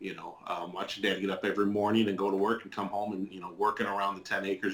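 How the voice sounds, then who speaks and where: A man speaks at a fairly quick pace with a fairly low pitch, in an Upper Midwest accent. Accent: Upper Midwest American. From southwest Michigan. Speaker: interviewee sharing life story. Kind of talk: testimony interview. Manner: hesitant, many fillers and repeats.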